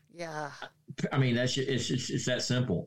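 A man with an American accent, talking at a fairly quick pace. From Oklahoma. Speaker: retired firefighter. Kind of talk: interview.

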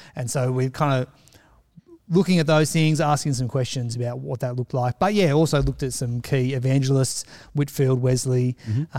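Speaking at a fairly quick pace, a man with a dark, mellow tone holds a medium pitch with ordinary variation. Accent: Australian. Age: 40s. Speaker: church member. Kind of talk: casual chat.

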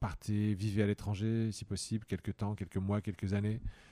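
Over a very clean recording with a silent background, a man speaks with a fairly low pitch and a dark, mellow tone. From northeastern France. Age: 40s. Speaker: politician. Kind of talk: interview. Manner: halting.

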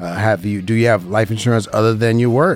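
With music in the background, a man with an American accent speaks at a medium pitch and a fairly quick pace. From Las Vegas, Nevada. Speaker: radio host and insurance broker. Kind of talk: paid radio program on insurance. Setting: radio studio.

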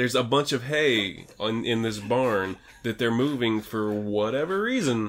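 A man speaks at a fairly slow pace and medium pitch with ordinary pitch variation. Noticeable background noise runs underneath. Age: 30s. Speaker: horror movie podcast co-host. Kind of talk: casual movie review chat.

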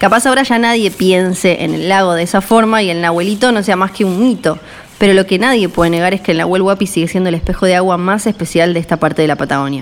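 Very fast and with ordinary pitch variation, a woman talks over noticeable background noise. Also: medium pitch for a woman. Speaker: travel podcast host. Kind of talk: scripted narration; casual interview.

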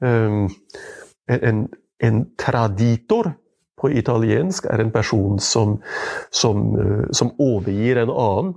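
A man speaks very slowly with long, frequent pauses and ordinary pitch variation. His tone is dark and mellow, and his loudness stays very even. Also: medium pitch for a man. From Indre Østfold, Norway. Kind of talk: conversational interview. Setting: his home.

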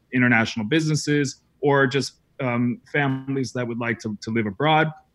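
At a moderate pace and with ordinary pitch variation, this is an unremarkable speaking voice. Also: man. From New England, US. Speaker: education entrepreneur and former teacher. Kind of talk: interview conversation.

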